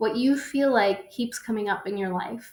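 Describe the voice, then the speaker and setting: Speaking at a fairly slow pace, a woman has a normal speaking voice, a fairly high pitch and ordinary pitch variation. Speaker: personal development workshop host. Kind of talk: online workshop presentation.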